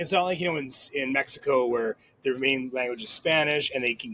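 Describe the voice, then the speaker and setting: A man talks with ordinary pitch variation. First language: French. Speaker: podcast host. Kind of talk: casual chat. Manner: halting.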